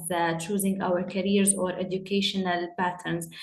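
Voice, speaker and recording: Audible room echo follows a woman speaking at a moderate pace. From UAE, Jordanian family. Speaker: panel guest. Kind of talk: panel discussion. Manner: halting, with repetitions.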